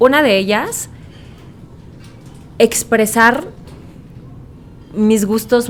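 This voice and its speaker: A woman with a Mexican accent speaks at a very slow pace in a fairly high pitch with ordinary pitch variation and long, frequent pauses. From Mexico. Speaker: voice actor; radio host. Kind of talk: podcast interview answer.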